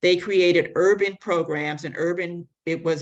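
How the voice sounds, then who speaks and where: With an American accent, a woman speaks at a moderate pace in a fairly low pitch and a monotone, flat intonation. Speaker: public health advocate. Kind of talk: conference presentation.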